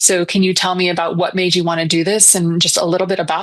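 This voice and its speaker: A woman with a fairly low pitch talks at a fairly quick pace over a quiet background. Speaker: podcast host. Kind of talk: podcast interview host.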